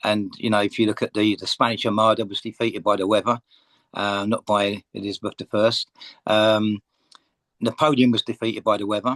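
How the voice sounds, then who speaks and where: The sound is dry and close with no echo as a man speaks at a fairly low pitch with monotone, flat intonation. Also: fairly quick pace. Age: 60s. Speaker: author. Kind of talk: interview. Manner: hesitant, many fillers.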